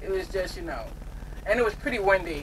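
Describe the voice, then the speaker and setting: A woman against light background noise. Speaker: truck driver vlogger. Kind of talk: casual vlog chat. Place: car. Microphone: camera far.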